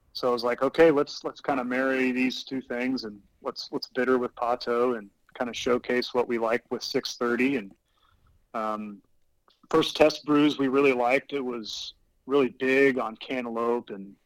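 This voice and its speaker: A man with an ordinary speaking voice talks at medium pitch and a moderate pace. His intonation is fairly even, and the sound is dry and close with no echo. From Houston, Texas, US. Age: 30s. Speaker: brewer. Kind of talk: casual chat.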